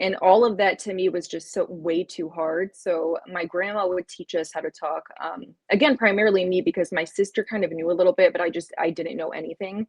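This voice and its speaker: A woman's medium-pitched voice at a fairly quick pace, with ordinary pitch variation and hardly any pauses. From US, partly raised in Palestine. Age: 30s. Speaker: content creator. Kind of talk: podcast interview. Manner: casual, many fillers.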